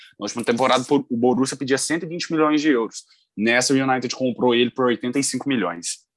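Dry and close with no echo, a man with a plain, everyday voice of medium pitch talks at a fairly quick pace with ordinary pitch variation. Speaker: football podcast co-host. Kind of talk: casual chat.

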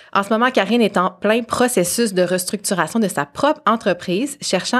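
A woman's voice carries ordinary pitch variation while moving at a moderate pace. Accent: Quebec. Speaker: podcast host, marketing strategist. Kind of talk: casual interview; scripted intro. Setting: studio.

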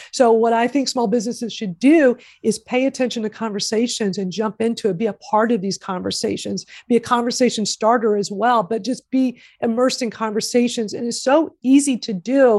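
A woman talks in a plain, everyday voice. Her pitch is fairly high, with ordinary pitch variation. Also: fairly quick pace. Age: 50s. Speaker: social media marketing consultant. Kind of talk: interview.

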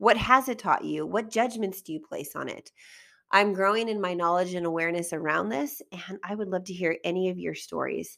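Recorded very cleanly against a silent background, a woman with a medium-pitched, bright, sharp voice shows ordinary pitch variation and big swings in loudness. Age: 40s. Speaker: life coach and podcast host. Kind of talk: solo podcast monologue.

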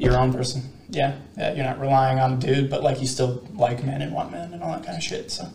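Mumbling at a medium pitch, a man speaks with big swings in loudness over noticeable background noise. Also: ordinary pitch variation, fairly quick pace. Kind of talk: casual chat.

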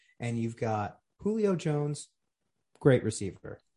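Against a quiet background, a man with a dark, mellow tone speaks at a fairly slow pace, somewhat breathy, with lively intonation. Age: 30s. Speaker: fantasy football league member, podcast co-host. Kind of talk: casual chat.

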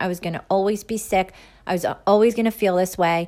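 A woman uses a normal speaking voice at medium pitch and a fairly quick pace, with ordinary pitch variation. The recording is very clean, with a silent background. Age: 40s. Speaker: podcast host, holistic health. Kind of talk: solo podcast monologue.

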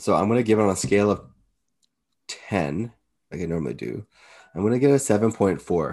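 At a very fast pace broken by long, frequent pauses, a man with a fairly low pitch, dark, mellow tone and vocal fry speaks with lively intonation. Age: 30s. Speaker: podcast co-host. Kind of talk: casual chat.

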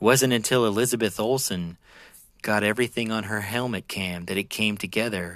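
Fairly low-pitched, a man delivers his words at a fairly quick pace with fairly even intonation. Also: very clean recording, silent background. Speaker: podcast host. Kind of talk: scripted narration of weird fiction story prompts, read aloud. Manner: dramatic, eerie storytelling delivery.

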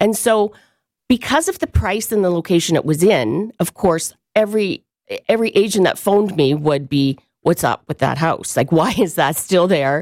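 Recorded dry and close with no echo, a woman talks at a moderate pace in a medium pitch with lively intonation. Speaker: real estate agent. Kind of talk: radio interview, professional tips chat. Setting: radio studio. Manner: conversational, hesitant with fillers.

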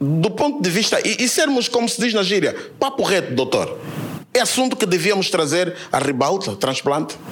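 A high-pitched man with very wide pitch swings and very even loudness, over noticeable background noise. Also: moderate pace. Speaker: audience member. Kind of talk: audience question.

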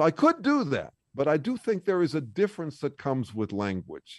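The recording is very clean, dry and close, with a silent background and no echo. A man with vocal fry speaks at a fairly quick pace, his pitch swinging very widely. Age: 60s. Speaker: author and researcher. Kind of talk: interview. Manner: halting.

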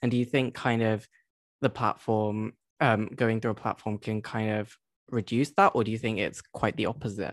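A man talks in an unremarkable speaking voice at a medium pitch. He keeps a moderate pace with fairly even intonation. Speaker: podcast host. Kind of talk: interview conversation.

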